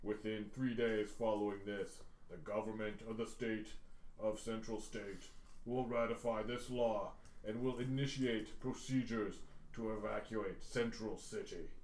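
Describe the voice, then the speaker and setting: A man's put-on character voice at medium pitch and moderate pace, over clear background noise. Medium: actual play. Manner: menacing, formal, pedantic.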